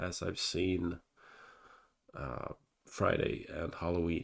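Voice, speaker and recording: A man's voice is heard. The recording is very clean, and the background is silent. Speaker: movie reviewer. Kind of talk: casual video review. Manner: hesitant, many fillers.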